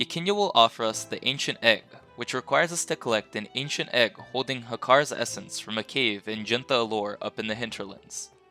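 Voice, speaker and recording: A man at a fairly quick pace with hardly any pauses, dry, close sound with no echo and music in the background. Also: medium pitch for a man, ordinary pitch variation. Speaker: game guide creator. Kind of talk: video game guide narration.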